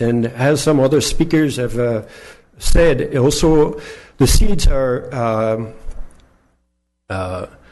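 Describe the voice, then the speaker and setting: A man's voice carries audible room echo. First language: not English. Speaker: gardener speaking at public comment. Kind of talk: public comment at city council. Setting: city council chamber. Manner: halting, many fillers.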